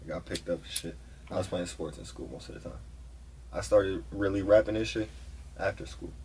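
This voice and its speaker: A man with a very deep, low pitch and vocal fry talks at a fairly quick pace, with very wide pitch swings, big swings in loudness, and long, frequent pauses. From Haverhill, Massachusetts, near Boston; Massachusetts. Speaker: rapper; interviewee. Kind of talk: casual interview chat. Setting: studio booth. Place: studio.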